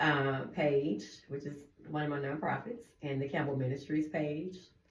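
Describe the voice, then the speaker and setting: Amid audible room echo and noticeable background noise, a woman with a very deep, low voice speaks at a moderate pace with ordinary pitch variation. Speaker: radio co-host, nonprofit founder. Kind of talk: casual radio chat. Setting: radio studio, streamed live.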